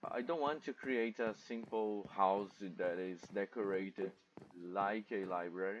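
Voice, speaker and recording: A man with a non-native accent speaks with ordinary pitch variation. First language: not English. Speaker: gamer, content creator. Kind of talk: gameplay commentary. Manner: halting.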